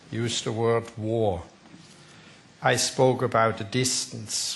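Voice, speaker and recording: With a Swiss accent, a man talks very slowly at medium pitch. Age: 60s. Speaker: company board chairman. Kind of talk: panel discussion.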